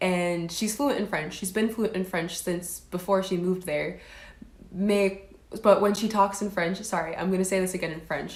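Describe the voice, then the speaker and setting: The woman's intonation stays fairly even. Audible room echo surrounds her voice. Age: 20s. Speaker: livestreamer. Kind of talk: live stream chat. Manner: casual, filler-heavy.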